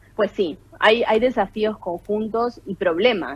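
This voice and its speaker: Over noticeable background noise, a woman talks at a very slow pace in a medium pitch that swings very widely. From Argentina, Santa Fe. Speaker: political science professor and researcher. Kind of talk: radio interview.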